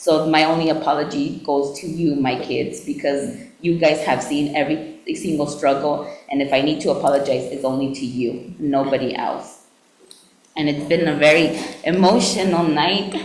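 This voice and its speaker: A woman with a very deep, low pitch, ordinary pitch variation and a moderate pace, amid noticeable background noise and audible room echo. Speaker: city council member. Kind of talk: farewell speech at council meeting. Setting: city council chamber with audience. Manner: loud.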